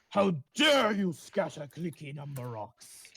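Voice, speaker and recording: This man uses a put-on character voice pitched fairly high. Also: fairly slow pace. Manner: indignant, outraged.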